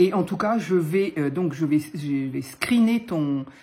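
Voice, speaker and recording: A woman speaks in a dark, mellow, somewhat breathy tone with ordinary pitch variation. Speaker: papercraft youtuber. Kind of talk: crafting tutorial chat. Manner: hesitant, many fillers.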